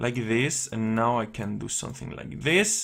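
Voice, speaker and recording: The voice has vocal fry and moves at a fairly slow pace. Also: man. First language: not English. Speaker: indie game developer. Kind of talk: gameplay tutorial. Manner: hesitant, many fillers.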